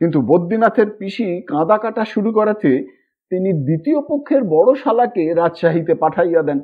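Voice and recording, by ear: The voice moves at a fairly quick pace with lively intonation and a slightly husky edge. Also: man, high pitch for a man.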